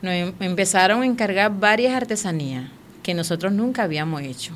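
In a Venezuelan accent, a woman speaks at a moderate pace with lively intonation and audible room echo. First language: Warao (speaking Spanish). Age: 40s. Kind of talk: interview testimony.

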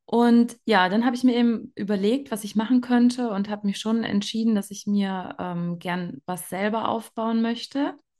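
A woman talks at a moderate pace in a medium pitch against a quiet background. Hers is an ordinary speaking voice. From Germany. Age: 30s. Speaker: network marketing leader, trained nurse. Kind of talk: interview.

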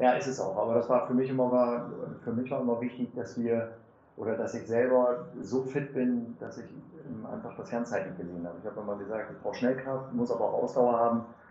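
A man's medium-pitched voice at a fairly quick pace, fairly even in intonation, with big swings in loudness, audible room echo and noticeable background noise. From Lower Saxony, Germany (Lohne). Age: 40s. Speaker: mayor and district administrator candidate. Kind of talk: interview.

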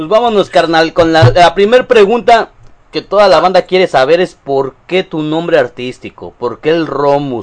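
With a Mexican accent, a man speaks at a moderate pace in a high pitch with lively intonation. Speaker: streamer interviewing a guest. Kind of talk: casual chat.

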